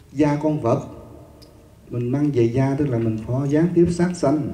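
Audible room echo surrounds a man speaking at a fairly slow pace with ordinary pitch variation. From Vietnam. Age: 50s. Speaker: Buddhist monk teacher. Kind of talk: dharma lecture. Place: hall. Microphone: handheld.

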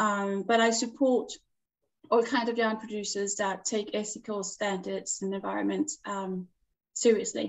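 Against a quiet background, a woman with a Danish accent speaks at a moderate pace. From Denmark, Jutland; Denmark. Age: 40s. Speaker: knitwear designer; guest. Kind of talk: interview. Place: home room. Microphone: video call.

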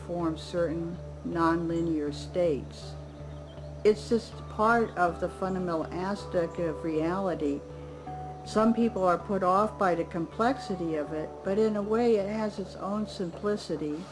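Fairly slow speech over clear background music. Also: woman. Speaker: interviewee. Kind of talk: interview answer. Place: garden.

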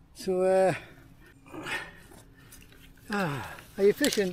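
A man's high, slightly mellow voice in a Teesside accent, very slow in pace with ordinary pitch variation. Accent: Teesside, northern English.

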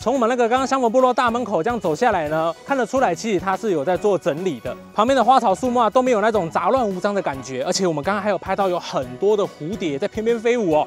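Faint music plays behind a man who talks very fast with hardly any pauses, in a dry sound with no echo. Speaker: travel vlogger. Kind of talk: casual vlog chat. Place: open country. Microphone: lapel.

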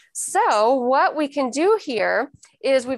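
Against a quiet background, a woman with a high pitch sounds dry, with no echo. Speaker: clinic aesthetic staff. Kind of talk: live demonstration.

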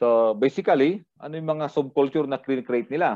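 Against a quiet background, a man speaks at a fairly slow pace in a medium pitch with lively intonation. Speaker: criminology lecturer. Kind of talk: lecture. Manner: halting, frequent fillers.

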